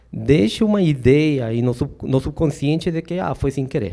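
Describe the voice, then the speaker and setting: A man speaks in a Peruvian accent with lively intonation. His tone is dark and mellow. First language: Spanish (speaking Portuguese). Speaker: safety trainer. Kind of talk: lecture. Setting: stage with audience. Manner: hesitant, many fillers.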